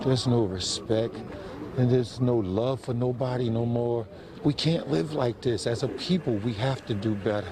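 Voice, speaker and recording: Over noticeable background noise, a man with an American accent talks at a moderate pace and medium pitch with ordinary pitch variation. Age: 60s. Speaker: grieving father. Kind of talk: news interview.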